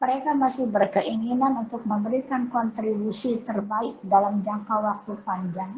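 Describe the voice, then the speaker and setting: Ordinary pitch variation at a moderate speed, plus audible echo from the room. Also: woman. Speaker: female Islamic religious teacher. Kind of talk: religious lecture.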